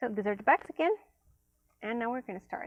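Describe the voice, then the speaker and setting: A woman speaks with a non-native accent at a fairly high pitch. Her intonation is lively. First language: not English. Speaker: tarot and oracle card reviewer. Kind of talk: unboxing review. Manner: casual, many fillers.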